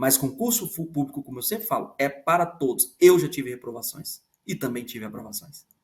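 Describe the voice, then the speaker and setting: A man's fairly high, somewhat breathy voice at a fairly quick pace, lively in intonation, with big swings in loudness. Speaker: law professor. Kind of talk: lecture. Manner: fast.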